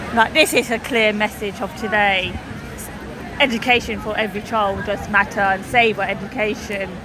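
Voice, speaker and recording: Over crowd noise and audible room echo, the speaker talks at a moderate pace with fairly even intonation. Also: woman, fairly high pitch for a woman. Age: 30s. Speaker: livestreamer covering a protest. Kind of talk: casual chat and live reporting. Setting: outdoors at a protest. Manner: halting.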